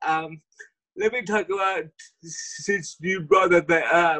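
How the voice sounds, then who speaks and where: A man speaks at a very slow pace with a high pitch. His voice is raised and projected. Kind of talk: casual interview chat. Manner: halting, stammers and repeats syllables; enthusiastic.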